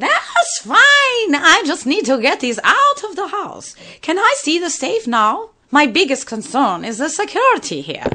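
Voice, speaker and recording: A woman puts on a character voice with extremely high pitch. Her pitch swings very widely. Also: moderate pace. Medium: audio drama.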